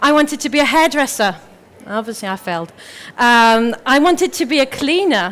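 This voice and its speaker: A woman speaks at a high pitch in a French accent. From France. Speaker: motivational speaker. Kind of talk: motivational talk. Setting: stage with audience.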